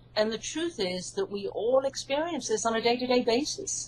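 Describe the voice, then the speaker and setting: A woman speaks at a moderate pace with an English accent. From UK. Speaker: hypnotherapist and psychologist, author. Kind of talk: interview.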